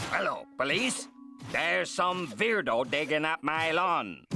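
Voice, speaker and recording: Clear music plays behind a man doing a cartoonish character voice, pitched fairly high and delivered at a fairly slow pace. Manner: irritable.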